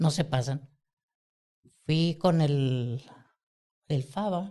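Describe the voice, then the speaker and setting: Somewhat breathy and dark, mellow in tone, a man speaks at a very slow pace with ordinary pitch variation. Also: fairly high pitch for a man. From Mexico City. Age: 60s. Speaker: podcast host. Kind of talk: casual chat.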